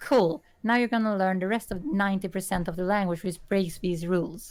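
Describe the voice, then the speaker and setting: A woman with a Swedish accent at a very fast pace, music in the background. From Sweden. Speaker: artist. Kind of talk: casual chat. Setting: live stream.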